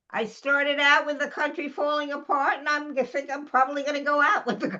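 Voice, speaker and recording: A woman's raised, projected voice sits high in pitch, with a bright, sharp tone. She talks fairly quickly with ordinary pitch variation. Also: hardly any pauses. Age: 90s. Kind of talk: casual chat.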